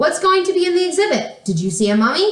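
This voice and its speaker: In a put-on character voice, a woman speaks at a very fast pace with an extremely high, squeaky pitch and very wide pitch swings, with slight echo. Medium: read story. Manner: quick, inquisitive.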